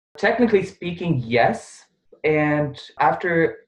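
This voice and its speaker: With ordinary pitch variation, a man talks in a voice that is somewhat breathy. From Bosnia. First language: Bosnian/Serbian. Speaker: pharmacist and research intern. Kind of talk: casual interview. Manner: animated.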